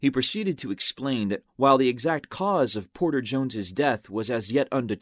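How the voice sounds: Intonation here is lively. It comes in a natural reading voice.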